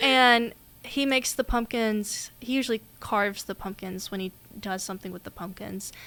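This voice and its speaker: In a Southern US accent, a woman speaks with a fairly high pitch and a bright, sharp tone. Her loudness swings widely on a very clean recording with a silent background. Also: ordinary pitch variation, moderate pace. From US South, Mississippi. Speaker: podcast co-host, college student. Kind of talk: casual chat.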